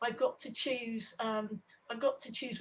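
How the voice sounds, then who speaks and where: A woman with a fairly high voice lets her pitch move a normal amount. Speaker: struggling parent at public meeting. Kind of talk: testimony. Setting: video call. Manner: fast.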